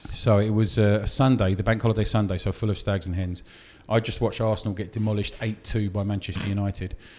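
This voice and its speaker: Very fast and monotone, a man with a fairly low pitch talks in flat intonation on a very clean recording with a silent background. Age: 30s. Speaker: comedy club compere. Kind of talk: casual chat. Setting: comedy venue, recorded on site.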